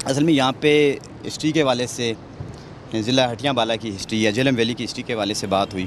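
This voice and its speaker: A man talks with ordinary pitch variation. The sound is dry with no echo, and there is light background noise. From Jhelum Valley, Azad Kashmir; Azad Kashmir. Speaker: social activist; talk show guest or host. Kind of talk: panel discussion. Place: open country. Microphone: handheld.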